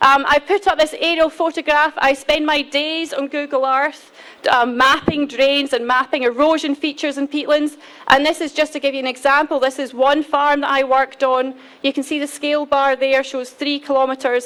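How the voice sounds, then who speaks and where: With a Scottish accent, a woman talks at a moderate pace in a high voice with monotone, flat intonation. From Scotland. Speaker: peatland restoration specialist. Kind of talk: conference presentation. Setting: conference hall podium.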